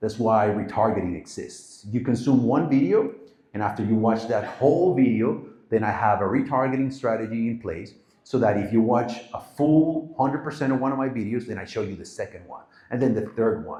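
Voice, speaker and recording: At a fairly quick pace, a man with a medium-pitched, dark, mellow, somewhat breathy voice speaks with ordinary pitch variation and audible room echo. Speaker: marketing agency founder giving a talk. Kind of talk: live presentation to an audience. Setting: stage with audience.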